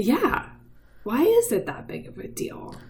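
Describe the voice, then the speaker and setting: A woman talks with very wide pitch swings. Noticeable background noise can be heard. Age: 30s. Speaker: podcast host. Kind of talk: casual chat. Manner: animated.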